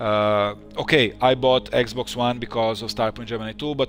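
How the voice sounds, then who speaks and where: Over music in the background, a man with a Bulgarian accent talks at a fairly low pitch. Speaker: game developer streaming. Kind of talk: live stream chat. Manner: halting, many fillers.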